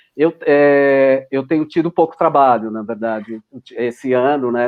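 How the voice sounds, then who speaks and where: A man at a medium pitch, talking at a fairly slow pace. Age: 60s. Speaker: film editor. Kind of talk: casual chat. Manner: halting, many false starts and repetitions.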